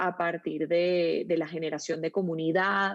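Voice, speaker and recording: A woman with a Venezuelan accent speaks at a fairly slow pace in a medium pitch. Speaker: storytelling consultant, agency founder. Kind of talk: interview.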